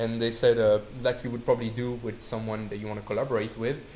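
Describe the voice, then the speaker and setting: A man with a medium pitch speaks at a very fast pace with big swings in loudness, and room echo is audible. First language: not English. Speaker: student society presenter. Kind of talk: lecture. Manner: halting.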